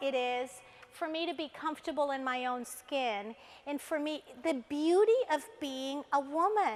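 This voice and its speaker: With a Spanish accent, a woman speaks at a fairly slow pace in a high voice, her tone animated and intonation lively. Noticeable background noise can be heard. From Colombia. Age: 50s. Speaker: motivational speaker. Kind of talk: motivational talk. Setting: stage with audience.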